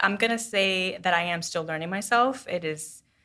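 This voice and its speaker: A woman's medium-pitched voice with a bright, sharp tone and audible room echo. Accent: American. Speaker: singer-songwriter. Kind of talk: casual interview. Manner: hesitant, many fillers.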